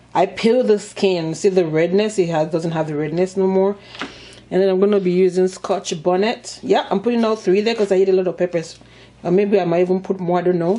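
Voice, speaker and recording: A woman's animated, medium-pitched voice at a fairly quick pace, very even in loudness, with noticeable background noise. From Nigeria. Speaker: mukbang and cooking YouTuber. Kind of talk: casual cooking tutorial and eating show. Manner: chatty, animated.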